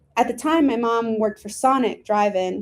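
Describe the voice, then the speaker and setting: A woman with an American accent, a normal speaking voice, a fairly quick pace and fairly even intonation. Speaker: actor and playwright. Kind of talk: autobiographical solo play reading.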